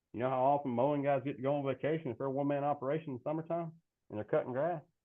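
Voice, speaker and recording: A man talks at a very fast pace with a Southern US accent. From South Carolina. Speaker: fertilizer sales representative. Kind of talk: interview. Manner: animated.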